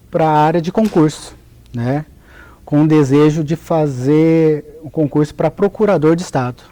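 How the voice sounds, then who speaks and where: Very slowly and with fairly even intonation, a man with a Paraná accent speaks in a dark, mellow tone at a fairly high pitch. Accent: southern Brazilian (Paraná), noticeable. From Paraná, southern Brazil. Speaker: notary registrar, lawyer. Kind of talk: interview.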